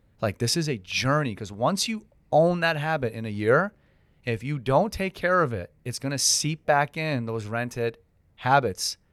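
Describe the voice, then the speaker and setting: With a normal speaking voice, this man talks at a moderate pace and a fairly high pitch, his intonation lively, the sound dry and close with no echo, and the recording very clean over a silent background. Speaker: mortgage coach and loan officer. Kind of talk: casual podcast conversation.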